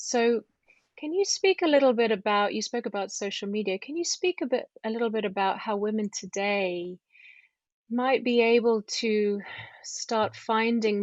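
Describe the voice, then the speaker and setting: Moving at a moderate pace, an unremarkable speaking voice shows ordinary pitch variation. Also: woman. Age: 40s. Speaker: podcast host. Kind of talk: interview.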